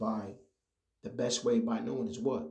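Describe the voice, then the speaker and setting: Amid audible room echo, a man with a medium pitch speaks in a dark, mellow tone with vocal fry. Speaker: religious teacher. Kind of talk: religious lesson. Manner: halting.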